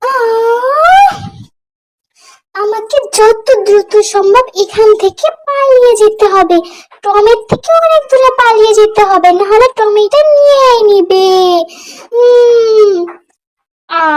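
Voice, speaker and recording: A woman speaks in a put-on character voice with an extremely high pitch. Her pace is very slow. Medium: fan dub. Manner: cheeky, quick.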